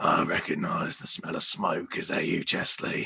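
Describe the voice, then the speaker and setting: The man's voice is a put-on character, raspy in tone. His pace stays moderate. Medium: actual play. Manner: courteous, formal.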